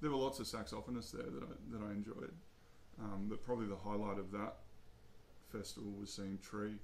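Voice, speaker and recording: A man's fairly low voice with an Australian accent, fairly quick delivery, ordinary pitch variation, long and frequent pauses, and audible room echo. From Australia, Albury, New South Wales. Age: 30s. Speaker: jazz saxophonist. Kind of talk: casual interview. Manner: hesitant, many fillers.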